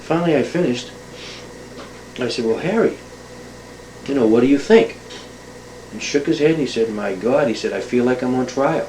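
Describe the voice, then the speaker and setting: Through noticeable background noise and audible room echo, a man with an American accent speaks with lively intonation and long, frequent pauses. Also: medium pitch for a man. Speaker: oral historian. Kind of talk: spoken monologue introduction to an oral history tape. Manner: fast; hesitant, many fillers.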